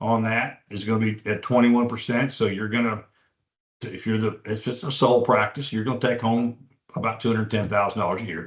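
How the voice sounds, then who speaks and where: A man rattles along at a very fast pace, his voice sitting at medium pitch. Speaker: veterinary practice broker presenting a webinar. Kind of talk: webinar presentation. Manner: halting, many fillers and repeats.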